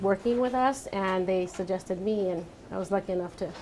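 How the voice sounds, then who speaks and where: A woman with a Spanish accent speaks at a moderate pace and a medium pitch. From Santa Barbara, California (moved from Mexico at about five). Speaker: architect. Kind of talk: panel talk answering audience questions. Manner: hesitant with many fillers.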